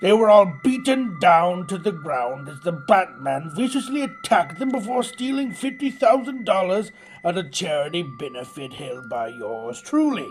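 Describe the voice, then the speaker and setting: Clear music plays in the background as a man uses a put-on character voice. It sits high in pitch with very wide pitch swings, at a moderate pace. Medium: short film. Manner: smug, gloating.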